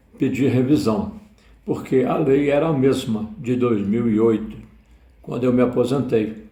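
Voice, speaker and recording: A dark, mellow, somewhat breathy tone at a fairly slow pace, with audible room echo. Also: man. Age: 70s. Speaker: retiree. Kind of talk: personal testimony.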